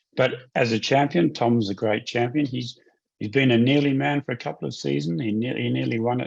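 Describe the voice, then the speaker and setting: Here is a man with an Australian accent and a medium pitch. His voice makes very wide pitch swings at a fairly quick pace. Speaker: motorsport series executive. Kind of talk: interview.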